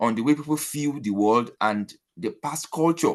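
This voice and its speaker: In a Nigerian accent, a man talks at a moderate pace and a fairly high pitch, his intonation lively against a quiet background. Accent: Nigerian (Yoruba) English. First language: Yoruba. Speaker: academic presenter. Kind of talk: conference presentation. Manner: hesitant, many fillers.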